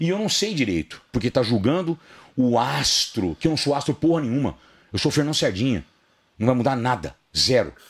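Vocal fry runs through a man's medium-pitched voice as it makes very wide pitch swings. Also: moderate pace. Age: 50s. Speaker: fitness personality; podcast guest. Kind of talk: podcast interview, casual chat. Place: studio. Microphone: studio mic.

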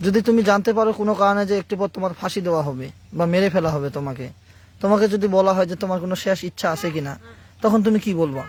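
The voice belongs to a man and sits high in pitch. Its pitch varies in an ordinary way. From Bangladesh, Panchagarh. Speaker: exorcist healer. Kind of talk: exorcism session, scolding a possessed patient. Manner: stern, commanding.

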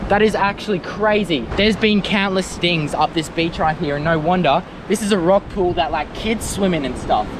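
A high-pitched man with an Australian accent speaks at a moderate pace with ordinary pitch variation and hardly any pauses, in a dry sound with no echo and noticeable background noise. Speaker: wildlife adventure youtuber. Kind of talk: vlog narration. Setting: outdoors. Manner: animated. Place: beach. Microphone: phone near.

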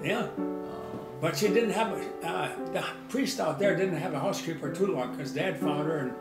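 A man with an American accent at a moderate pace, clear music in the background. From Butte, Nebraska. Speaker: farmer. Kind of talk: interview answer. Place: kitchen.

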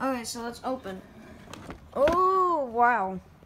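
Pitch variation is ordinary. The tone is fairly bright. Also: woman.

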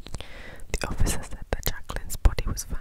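Moderate-paced whispering from a woman. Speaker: ASMR storyteller. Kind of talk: whispered true crime storytelling. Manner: whispered, soft. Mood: somber, gentle. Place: home room. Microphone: lapel.

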